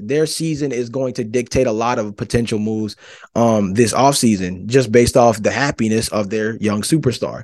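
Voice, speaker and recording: Against a quiet background, a man speaks fairly quickly with an American accent. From Georgia, US South. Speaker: sports podcast host. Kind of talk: solo sports commentary podcast. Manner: animated.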